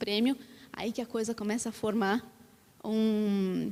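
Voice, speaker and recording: The speaker is a woman. Her voice sits at a fairly high pitch. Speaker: panelist, design researcher at a tech company. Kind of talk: panel discussion. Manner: hesitant, many fillers.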